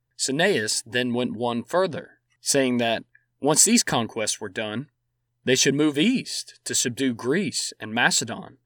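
At a very slow pace, a man with a medium pitch delivers lively intonation and a dramatic tone in a very clean recording with a silent background and a dry, close sound with no echo. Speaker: podcast host, history narrator. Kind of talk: scripted history narration. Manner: measured, storytelling pace with dramatic, vivid emphasis; formal, clear and steady, with wry amusement at anecdotes.

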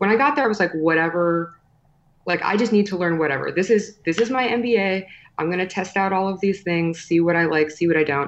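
A woman speaks at a fairly quick pace against a quiet background. Her voice is an ordinary speaking voice, medium in pitch, with ordinary pitch variation. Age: 30s. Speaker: personal branding expert and podcast host. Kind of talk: interview.

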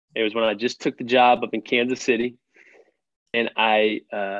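Speaking at a fairly slow pace, a man with an American accent uses a medium pitch. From Texas, Fort Worth. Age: 30s. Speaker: young adult ministry leader. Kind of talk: podcast interview.

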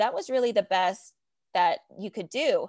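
A woman at a moderate pace, dry, close sound with no echo, quiet background. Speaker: digital adoption leader. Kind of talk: interview. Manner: animated.

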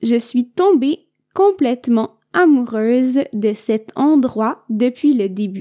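A woman speaks very slowly at a high pitch, her intonation lively and her tone dark and mellow. The sound is dry and close, with no echo. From Quebec. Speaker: podcast host for French learners. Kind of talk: learner podcast monologue. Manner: clear and measured.

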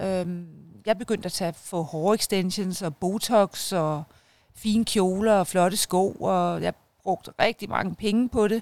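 A woman's plain, everyday voice at medium pitch, fairly slow pace, in dry, close sound with no echo. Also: fairly even intonation. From Denmark, North Zealand (Hørsholm). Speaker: media entrepreneur and mother. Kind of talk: interview, personal life story. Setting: outdoors in a garden.

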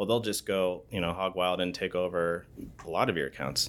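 A man with a West Coast accent speaks at a fairly quick pace. His pitch is very deep and low, and his intonation stays fairly even. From Oregon, US. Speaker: city information security manager. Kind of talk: interview.

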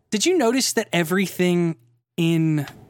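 A man talks fairly slowly with ordinary pitch variation. It is a normal speaking voice. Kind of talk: casual chat. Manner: joking, laughs a lot.

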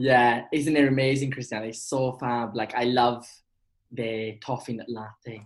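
A man speaks at medium pitch and a fairly slow pace. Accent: Welsh. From Wales. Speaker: actor. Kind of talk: casual chat. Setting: video call. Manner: animated.

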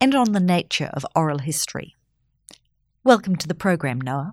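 A woman with an unremarkable speaking voice talks at a fairly quick pace and a fairly low pitch in a very clean recording with a silent background. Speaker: podcast host. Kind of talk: interview. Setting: studio.

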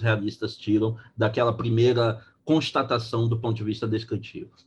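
A man's voice comes across as somewhat breathy at a medium pitch. He keeps a moderate pace. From Brazil, Belém, Pará. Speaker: law professor. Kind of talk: lecture-style interview.

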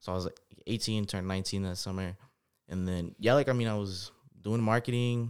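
A man's plain, everyday voice, a plain, everyday voice at fairly low pitch, fairly quick pace and fairly even intonation, on a very clean recording with a silent background. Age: 20s. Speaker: entrepreneur, credit specialist. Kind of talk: casual interview.

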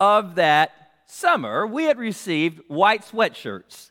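With an American accent, a man uses a raised, projected voice and a bright, sharp tone, swinging very widely in pitch in a very clean recording against a silent background. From US West Coast, South Central Los Angeles. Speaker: pastor. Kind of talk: sermon.

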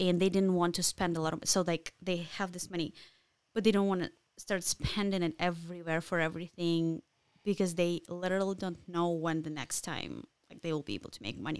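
A woman with a Ukrainian accent speaks at a fairly quick pace in a fairly low pitch. Her intonation is fairly even, while her loudness swings a lot. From Ukraine. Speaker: Ukrainian immigrant. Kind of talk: casual interview. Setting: studio.

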